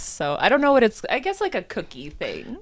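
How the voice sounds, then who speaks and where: With a Michigan accent, the speaker moves at a fairly quick pace, the pitch swinging very widely. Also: woman. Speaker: podcast co-host. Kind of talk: casual chat.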